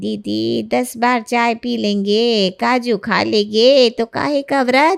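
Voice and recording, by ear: This put-on character voice has a clear, smooth tone with vocal fry, fairly even intonation and a slow pace. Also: woman, fairly high pitch for a woman.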